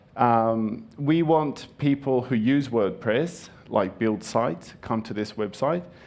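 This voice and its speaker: Very slowly, a man speaks with audible room echo around his voice. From Japan. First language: Japanese. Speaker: conference speaker. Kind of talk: conference talk.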